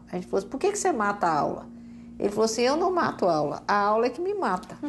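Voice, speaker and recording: A woman talks at a very fast pace against noticeable background noise. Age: 60s. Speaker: education coordinator. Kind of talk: TV talk show interview.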